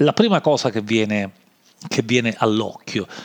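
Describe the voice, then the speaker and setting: A man in a Sicilian accent speaks with lively intonation, the sound dry and close with no echo. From Sicily. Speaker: podcast host. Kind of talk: improvised monologue. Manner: hesitant, many fillers.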